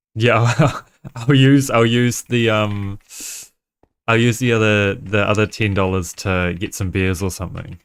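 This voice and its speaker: On a very clean recording with a silent background, a man with a slight New Zealand accent speaks at a fairly slow pace in a fairly low voice with ordinary pitch variation. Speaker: game streamer. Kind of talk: casual chat. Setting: live stream. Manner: halting.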